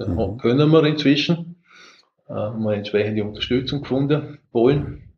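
With a Vorarlberg accent, a man of medium pitch talks at a moderate pace, somewhat breathy, with lively intonation. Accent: Vorarlberg dialect, sounds foreign to Swiss. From Austria, Vorarlberg. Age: 60s. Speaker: software company founder and CEO. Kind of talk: interview.

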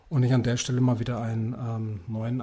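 This man uses an unremarkable speaking voice at a medium pitch. He keeps a moderate pace, and his intonation is fairly even. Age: 40s. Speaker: wine bar founder, former insurance employee. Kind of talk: interview.

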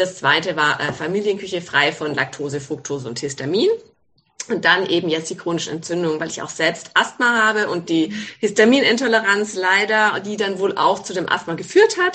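Her voice bright and sharp, a woman speaks at a medium pitch and moderate pace with ordinary pitch variation. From Baden, southwest Germany. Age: 40s. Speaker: gynecologist, author. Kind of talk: interview.

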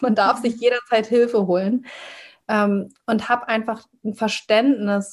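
Against a silent background on a very clean recording, a woman speaks at a very slow pace. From northern Germany, Hamburg. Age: 30s. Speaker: trauma-sensitive coach. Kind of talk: podcast interview.

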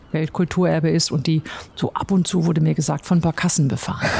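Over noticeable background noise, a woman talks at a very fast pace in a fairly low voice with ordinary pitch variation. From Ruhr area, Germany. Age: 50s. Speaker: logistics company chief executive. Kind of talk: interview. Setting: company office.

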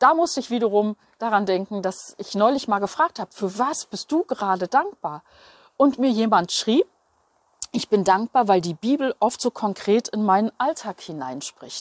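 In a very clean recording with a silent background and a dry, close sound without echo, a woman with a fairly high pitch speaks at a fairly slow pace, using lively intonation and long, frequent pauses. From Berlin, Germany. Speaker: journalist and radio presenter. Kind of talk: devotional monologue.

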